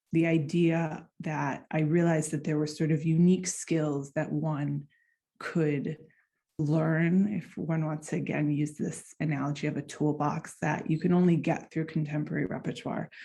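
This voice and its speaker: With an American accent, a woman speaks at a moderate pace in a very deep, low pitch, her tone dark and mellow and her intonation fairly even, against a quiet background. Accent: American accent, noticeable to Finns. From United States. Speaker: clarinetist and doctoral researcher. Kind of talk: conference presentation.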